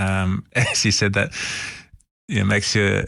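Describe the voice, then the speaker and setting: A man speaks with vocal fry. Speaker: podcast host. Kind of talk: conversational interview.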